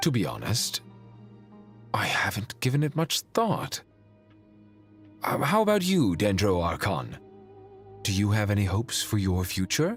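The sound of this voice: A man puts on a character voice, fairly low in pitch with a slightly husky edge and big pitch swings. He goes fairly slowly with long, frequent pauses, as faint music plays in the background.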